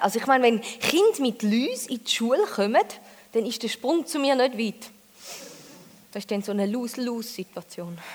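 A high-pitched woman with a Thurgau accent, at a moderate pace with ordinary pitch variation, amid noticeable background noise. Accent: Thurgau Swiss German dialect. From Switzerland, Thurgau. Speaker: comedian. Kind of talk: stand-up. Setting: stage with audience.

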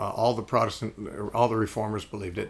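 The voice has vocal fry and a fairly even intonation. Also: man. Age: 60s. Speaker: radio host and Bible teacher. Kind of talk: interview. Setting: living room.

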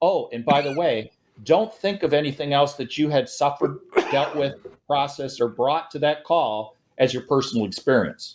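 Speaking at a moderate pace with an American accent, a man uses a normal speaking voice with ordinary pitch variation. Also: fairly high pitch for a man. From Minneapolis-St. Paul and northern Wisconsin. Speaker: police chief, trauma expert. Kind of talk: interview.

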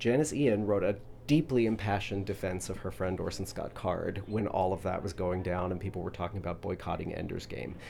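Here a man talks at a fairly quick pace with hardly any pauses and lively intonation. His voice has a fairly low pitch and a dark, mellow tone. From Louisville, Kentucky. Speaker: playwright. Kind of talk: casual interview.

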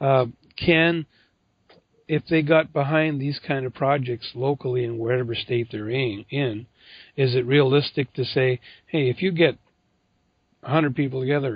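This man's fairly even intonation comes with a medium pitch, a moderate pace and an ordinary speaking voice. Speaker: podcast host. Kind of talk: interview.

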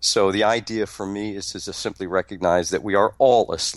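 A fairly low-pitched man at a moderate pace against a quiet background. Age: 50s. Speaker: motivational speaker and life coach. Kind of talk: casual interview chat. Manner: halting with repetitions.

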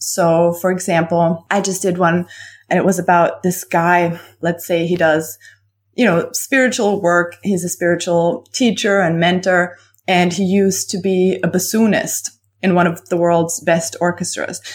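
Speech comes in a German accent at a moderate pace, with very even loudness. The recording is very clean, with a silent background. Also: woman. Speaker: copywriter and business coach. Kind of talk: casual interview chat. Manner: animated, laughs often.

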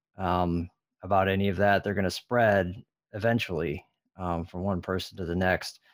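In a very clean recording with a silent background, a man with a very deep, low voice and an American accent speaks at a moderate pace with fairly even intonation. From California. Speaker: harm reduction worker and drug users' union organizer. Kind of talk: podcast interview. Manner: hesitant, many fillers.

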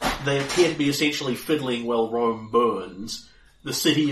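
Someone reads aloud in a natural-sounding voice.

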